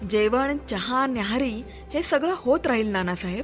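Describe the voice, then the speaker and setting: Music plays in the background. A woman talks with lively intonation at a high pitch. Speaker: storyteller, podcast host. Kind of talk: audio story narration, horror storytelling podcast.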